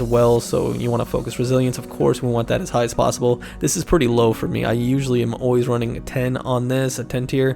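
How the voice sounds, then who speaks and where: Extremely rapid speech from a man, with clear background noise behind it. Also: hardly any pauses. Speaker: gaming content creator. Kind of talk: gaming build guide talk. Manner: casual, upbeat.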